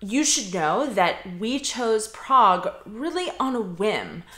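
A woman at a very slow pace against a quiet background, with audible room echo. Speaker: expat vlogger. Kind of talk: casual vlog chat. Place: home room.

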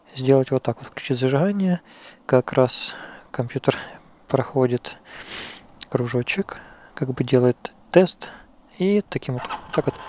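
A man at a very slow pace with long, frequent pauses and ordinary pitch variation, in a dry sound with no echo over light background noise. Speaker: motorcycle owner reviewer. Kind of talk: tutorial. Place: street.

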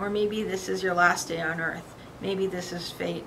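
Over light background noise, a woman talks at a moderate pace. Her pitch variation is ordinary. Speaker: poet. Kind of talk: poetry reading. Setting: studio poetry slam. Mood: dramatic, dark, expressive. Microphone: camera far.

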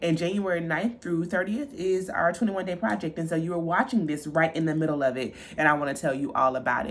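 This woman has an unremarkable speaking voice, fairly low in pitch, with lively intonation. She talks at a fairly quick pace with hardly any pauses. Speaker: style vlogger. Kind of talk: casual vlog chat. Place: home room. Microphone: phone near.

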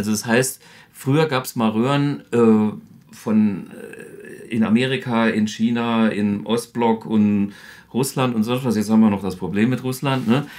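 In a plain, everyday voice of medium pitch, a man speaks at a fairly slow pace with ordinary pitch variation against a quiet background. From Saarland, Germany. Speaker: guitarist and amp designer. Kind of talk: product demonstration. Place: studio.

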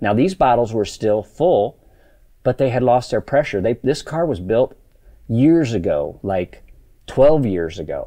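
Against a quiet background, a man talks at a fairly slow pace in a dark, mellow tone. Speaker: race car shop owner. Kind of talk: angry rant. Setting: workshop video, demonstrating parts. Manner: agitated, emphatic, blunt, profane. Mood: frustrated, emphatic. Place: workshop.

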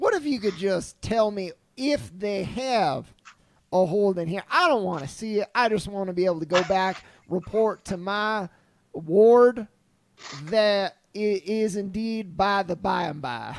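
In a put-on character voice, the speaker drawls at a fairly slow pace, raised and projected. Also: man, high pitch for a man. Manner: folksy, drawling, mangled idioms.

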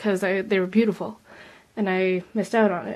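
Against a quiet background, a woman speaks at a fairly quick pace. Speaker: model horse hobbyist vlogger. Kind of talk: casual tutorial vlog. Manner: rambling, filler-heavy. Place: home room. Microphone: phone near.

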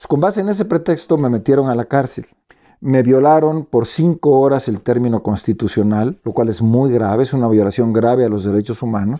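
A man with a Mexican accent talks at a fairly quick pace against a quiet background. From Mexico, Veracruz (Córdoba); Veracruz, Mexico. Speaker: former health official. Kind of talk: press statement. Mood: serious, aggrieved. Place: home room. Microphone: phone near.

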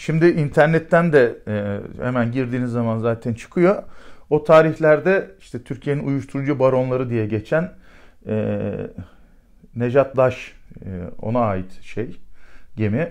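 With long, frequent pauses, a man talks at a fairly slow pace and ordinary pitch variation against a quiet background. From Turkey. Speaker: retired special forces commander. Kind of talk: storytelling interview. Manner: animated; hesitant fillers. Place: office.

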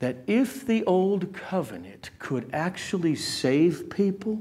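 A man speaks at a very slow pace. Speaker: preacher. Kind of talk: sermon. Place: church. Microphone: lapel.

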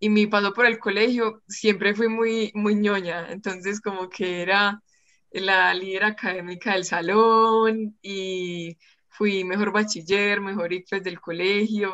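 A woman speaks at a very slow pace in a monotone, flat delivery. The background is quiet. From Colombia, Pereira; Colombia. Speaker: freediver and engineering student; interview guest. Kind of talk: interview. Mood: warm, smiling, relaxed. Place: home room. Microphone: video call.

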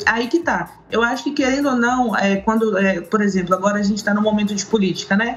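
A woman with a fairly high pitch speaks at a moderate pace, showing ordinary pitch variation. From Brazil, Minas Gerais (Governador Valadares); Minas Gerais, Brazil. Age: 30s. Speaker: social media activist against domestic violence; remote guest. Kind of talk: interview. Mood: earnest, serious topic. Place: home room.

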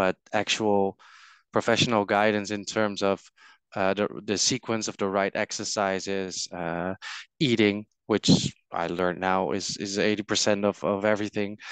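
A man with a fairly low pitch speaks at a fairly slow pace in a clear, smooth, fairly bright tone, with little pitch movement and a dry, close sound with no echo.

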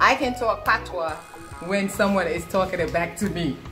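A woman with an American accent at a fairly slow pace, clear music playing in the background. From Jamaica. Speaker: vlogger. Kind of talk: casual vlog talk to camera. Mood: playful, laughing. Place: home room. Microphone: phone near.

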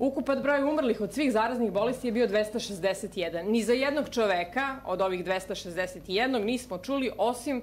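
A woman with a plain, everyday voice talks at a moderate pace with lively intonation and hardly any pauses over light background noise. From Serbia. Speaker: psychiatrist and anti-mandatory-vaccination activist; conference lecturer. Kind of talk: conference lecture. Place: hall. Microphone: podium.

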